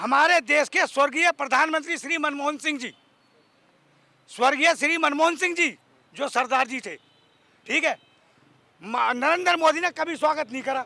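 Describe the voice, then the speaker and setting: At an extremely high pitch, a man uses a raised, projected voice, speaking at a moderate pace with fairly even intonation and long, frequent pauses. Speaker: voter interviewed in street debate. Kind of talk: heated debate. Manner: loud.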